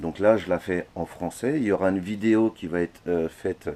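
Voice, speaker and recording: The voice is a man's. Its pitch moves in an ordinary way. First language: Dutch (speaking French). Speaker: hobbyist metalworker. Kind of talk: video complaint monologue. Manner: hesitant, many fillers.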